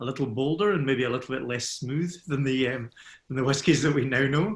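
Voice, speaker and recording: A man speaks in a Scottish accent. His voice is somewhat breathy. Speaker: scotch whisky ambassador. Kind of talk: expert Q&A in webinar.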